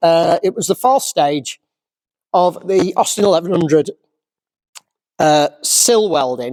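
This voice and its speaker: In a Yorkshire accent, a man with a high pitch speaks at a moderate pace in an animated tone, the sound dry and close with no echo. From Yorkshire, England. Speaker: classic car restorer. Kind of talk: casual vlog rant. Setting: workshop. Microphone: crackling microphone.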